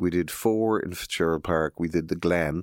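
The recording is very clean, with a silent background. A man with a very deep, low pitch speaks at a moderate pace with ordinary pitch variation. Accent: western Irish. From Galway, west of Ireland. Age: 50s. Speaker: music promoter. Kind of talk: casual interview.

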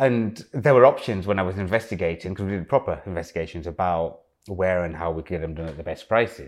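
A man with an East Midlands accent, very deep and low in pitch, at a very fast pace with hardly any pauses, ordinary pitch variation and big swings in loudness, over a quiet background. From East Midlands, England (Loughborough). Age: 40s. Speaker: fashion designer. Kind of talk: casual interview conversation. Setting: at home in his apartment.

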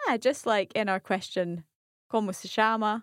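On a very clean recording with a silent background and a dry, close sound with no echo, a woman uses an ordinary speaking voice at a moderate pace and medium pitch. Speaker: language learner. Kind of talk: language lesson.

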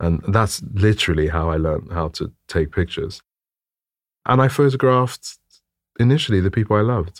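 Fairly quick yet full of long, frequent pauses, a man speaks at a fairly low pitch with lively intonation. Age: 40s. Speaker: photographer. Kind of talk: interview. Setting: studio.

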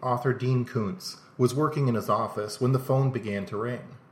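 A man's somewhat breathy voice. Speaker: podcast host narrating mysteries. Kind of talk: scripted narration.

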